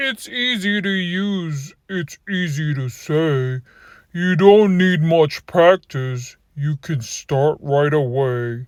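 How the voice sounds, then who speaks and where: A put-on character voice at a middle pitch moves at a very slow pace. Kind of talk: children's bedtime story read-aloud. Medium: read story. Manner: rhyming, instructive.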